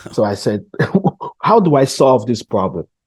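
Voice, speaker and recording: A man with a Cameroonian accent speaks at a moderate pace in a dry, close sound with no echo. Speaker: entrepreneur. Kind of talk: interview.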